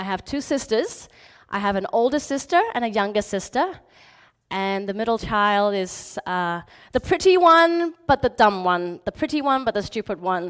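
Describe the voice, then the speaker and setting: A woman with a slight British accent speaks at a moderate pace, her fairly high voice swinging very widely in pitch over a very clean recording with a silent background. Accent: slight British twang. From Hong Kong, schooled in England from age nine. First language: Chinese. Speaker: motivational speaker. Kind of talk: motivational talk.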